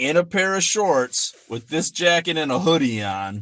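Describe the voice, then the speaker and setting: In a very clean recording with a silent background, a man talks at a moderate pace with an American accent. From Michigan. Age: 40s. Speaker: finance YouTuber and farmer. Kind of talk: livestream chat. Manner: casual, rambling with fillers.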